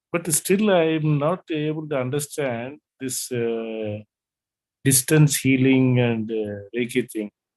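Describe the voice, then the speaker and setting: A man talks at a very slow pace. His pitch is medium with ordinary variation. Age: 70s. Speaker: student. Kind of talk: casual chat. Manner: halting.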